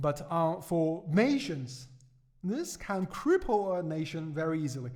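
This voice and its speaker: A man with a Chinese accent. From China. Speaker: economics podcaster. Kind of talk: podcast commentary. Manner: halting, many fillers and repetitions.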